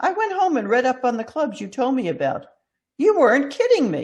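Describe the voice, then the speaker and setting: Putting on a character voice, a woman speaks at a fairly quick pace with a high pitch and very wide pitch swings. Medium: read story.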